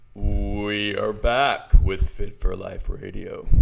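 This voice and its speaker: A man speaks very slowly in a put-on character voice. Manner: polished broadcast delivery.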